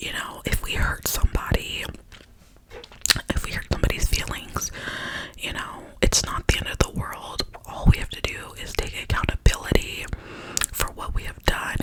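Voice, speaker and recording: Whispering in a gentle tone, a woman can be heard over noticeable background noise. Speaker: ASMR creator. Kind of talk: ASMR positive affirmations, whispered personal talk to camera. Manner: whispered, soft, gentle.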